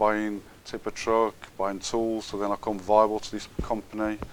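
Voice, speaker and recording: Fairly low in pitch, a man speaks in a monotone with flat intonation at a moderate pace. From Birmingham, England. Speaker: businessman. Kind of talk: interview. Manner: halting.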